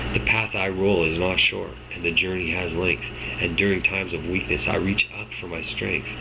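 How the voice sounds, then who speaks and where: This man's voice sits very deep and low. Background noise is clearly audible behind him. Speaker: public speaking teacher. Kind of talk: spoken word poetry.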